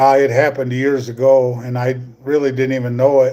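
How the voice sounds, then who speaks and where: The speaker talks at a moderate pace with a US Midwestern accent. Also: man. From US Midwest, northwest Iowa. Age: 60s. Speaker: YouTuber, retiree. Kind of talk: live stream chat. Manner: casual, halting with fillers.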